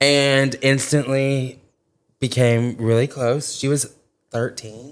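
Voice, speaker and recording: Speaking with an Arkansas accent, a man goes at a very slow pace at medium pitch. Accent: Southern US (Arkansas) twang. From Arkansas (small town, Corning). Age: 20s. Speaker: social media influencer. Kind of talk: casual chat. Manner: animated.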